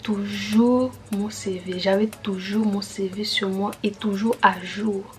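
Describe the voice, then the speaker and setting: A soft-spoken woman at medium pitch, very slow and monotone with flat intonation, over music in the background. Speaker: YouTuber giving advice on student jobs. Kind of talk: casual vlog. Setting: at home late at night, family asleep. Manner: soft-spoken, talking quietly.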